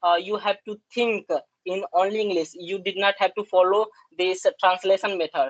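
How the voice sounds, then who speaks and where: In a dry, close sound with no echo, a woman of medium pitch speaks with an Indian accent. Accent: Indian English, Hindi speaker. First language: Hindi. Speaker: English learner. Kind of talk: conversation practice discussion. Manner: halting, many fillers.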